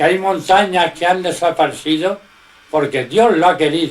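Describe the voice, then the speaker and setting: A man talks at a very slow pace while noticeable background noise carries on. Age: 80s+. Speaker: religious teacher. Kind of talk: informal religious teaching in conversation.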